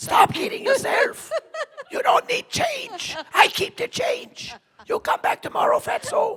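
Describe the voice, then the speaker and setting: A put-on character voice, raspy and extremely high-pitched, at a fairly slow pace. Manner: gruff, dismissive.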